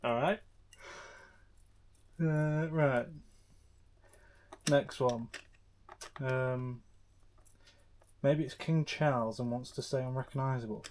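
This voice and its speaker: Quiet and bored in tone, a man with an English accent and a medium pitch speaks at a very slow pace with fairly even intonation and long, frequent pauses. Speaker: motorbike YouTuber. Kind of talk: casual vlog commentary. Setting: home garage. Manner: quiet, subdued; flat, bored-sounding.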